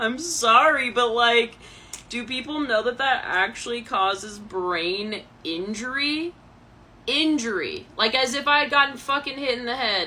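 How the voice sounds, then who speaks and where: At a fairly slow pace, a woman speaks at a high pitch with lively intonation. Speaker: vlogger telling personal story. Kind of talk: personal testimony vlog. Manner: animated, emotional.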